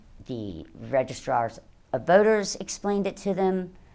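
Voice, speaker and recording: Very wide pitch swings from a woman at medium pitch, in a Louisiana accent. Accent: Louisiana Southern US. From southeast Louisiana. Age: 60s. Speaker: election board official. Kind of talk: news interview.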